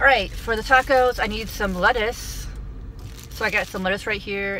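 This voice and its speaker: A woman at a fairly quick pace, with a dry sound, no echo and light background noise. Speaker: food vlogger. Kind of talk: casual vlog chat. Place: car. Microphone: phone near.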